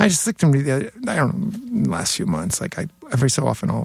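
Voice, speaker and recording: Very fast speech from a man, with noticeable background noise behind it. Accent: New York. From New York City (Queens). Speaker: hardcore bassist. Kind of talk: casual chat.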